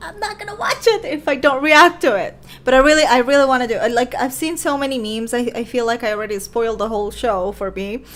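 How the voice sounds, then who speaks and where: A woman speaks very fast with a high pitch, lively intonation and big swings in loudness over noticeable background noise. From Venezuela. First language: Spanish. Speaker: YouTube reaction creator. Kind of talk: casual livestream chat. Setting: livestream on laptop. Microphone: laptop.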